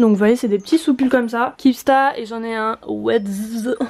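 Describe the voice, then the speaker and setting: A woman speaks at a moderate pace. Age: 20s. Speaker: vlogger. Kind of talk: casual tutorial. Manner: casual, with fillers.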